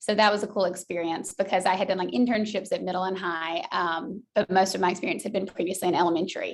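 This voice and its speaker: At a very fast pace, a woman with a slight Southern US accent talks with hardly any pauses. Her pitch is medium and her intonation fairly even. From US South, Georgia. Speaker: school counselor. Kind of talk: interview.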